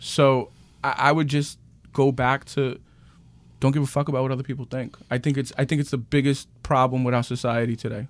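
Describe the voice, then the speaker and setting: Speaking with a New York accent, a man talks at a fairly quick pace in a medium pitch. The recording is very clean, with a silent background. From New York City, Queens. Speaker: real estate agent. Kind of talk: casual interview. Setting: studio. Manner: animated.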